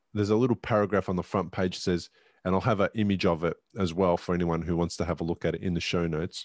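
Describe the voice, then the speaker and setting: A man with an Australian accent, very deep and low in pitch, at a very fast pace, the sound dry with no echo. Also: fairly even intonation, quiet background. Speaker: podcast host and stroke survivor; podcast host. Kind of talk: interview conversation. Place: home room.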